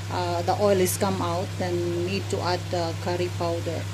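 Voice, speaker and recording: The pace is very slow. Noticeable background noise runs underneath. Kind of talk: casual cooking tutorial. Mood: relaxed, amused. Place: kitchen. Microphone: phone near.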